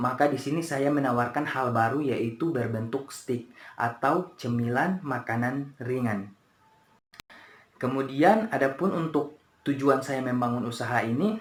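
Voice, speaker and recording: Against noticeable background noise, a man talks in a medium pitch. His pace is fairly slow and his pitch varies in an ordinary way. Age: 20s. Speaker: university student. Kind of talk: class presentation. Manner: hesitant, many fillers.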